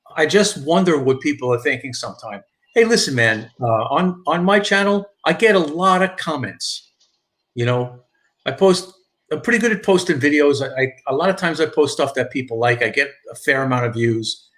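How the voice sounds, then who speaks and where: A man with a strong New York accent, fairly high pitch, lively intonation and a fairly quick pace. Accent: thick New York. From New York, Long Island. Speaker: YouTuber, live streamer. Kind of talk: casual live stream chat. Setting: driving in a car.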